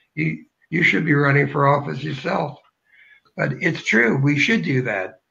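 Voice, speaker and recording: A man speaks at a fairly high pitch with a bright, sharp tone and some vocal fry. His pace is fairly slow, and his pitch varies in an ordinary way. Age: 70s. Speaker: political candidate. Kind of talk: interview.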